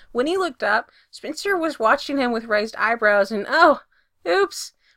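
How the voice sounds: The clip has a natural reading voice set against a quiet background.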